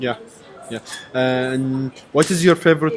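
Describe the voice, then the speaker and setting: A man with an Arabic accent speaks at a medium pitch, with ordinary pitch variation. His pace is fairly slow, and there is noticeable background noise. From Kuwait. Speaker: university language student. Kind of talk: casual interview practice. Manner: halting.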